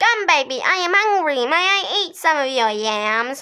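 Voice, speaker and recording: Using a put-on character voice, a woman speaks in a high pitch at a moderate pace. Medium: read story.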